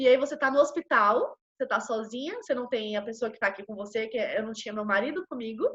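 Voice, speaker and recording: Loudness swings widely as the words pour out at a very fast pace with hardly any pauses. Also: woman, high pitch for a woman, ordinary pitch variation. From Brazil.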